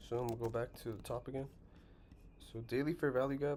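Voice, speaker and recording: A man speaks at a medium pitch with fairly even intonation, his dark, mellow tone somewhat breathy. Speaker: trading educator. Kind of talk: tutorial. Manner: fast.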